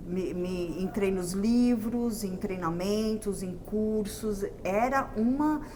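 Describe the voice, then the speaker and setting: Over noticeable background noise and audible room echo, a woman at medium pitch speaks very slowly with hardly any pauses. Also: ordinary pitch variation. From Brazil. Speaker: entrepreneur and sales mentor. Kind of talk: interview.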